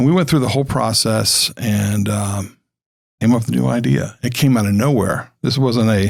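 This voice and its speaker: Recorded very cleanly against a silent background, a man with a medium pitch and ordinary pitch variation has a normal speaking voice. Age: 60s. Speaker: school founder, former marketing consultant. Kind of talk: podcast interview. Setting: studio.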